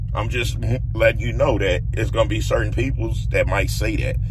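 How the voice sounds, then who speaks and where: This man keeps a moderate pace in a dry sound with no echo, though noticeable background noise is present. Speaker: vlogger. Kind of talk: casual vlog chat, storytelling. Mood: relaxed, amused. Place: car.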